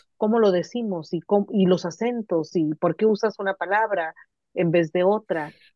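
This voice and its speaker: This is a plain, everyday voice from a woman with a medium pitch and ordinary pitch variation. She keeps a moderate pace and very even loudness. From Mexicali, Baja California, Mexico. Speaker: literature professor. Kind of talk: casual conversation.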